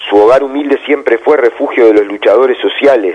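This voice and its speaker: A man talks in an ordinary speaking voice at a medium pitch. His pace is moderate and his pitch varies in an ordinary way. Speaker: radio host. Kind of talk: radio editorial and political analysis.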